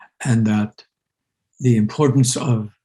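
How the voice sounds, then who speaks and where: Somewhat breathy and dark, mellow in tone, a man speaks at a medium pitch and a fairly slow pace. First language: Urdu. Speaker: university president and interviewer. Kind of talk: conversational dialogue. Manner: hesitant, with frequent fillers.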